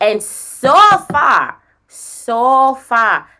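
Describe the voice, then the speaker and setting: The voice has a bright, sharp tone and very wide pitch swings. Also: woman. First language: not English. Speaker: spiritual medium. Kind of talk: psychic reading.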